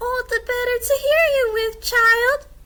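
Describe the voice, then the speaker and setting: Squeaky and extremely high-pitched, this put-on character voice moves at a fairly slow pace. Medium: read story. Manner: sly, scheming.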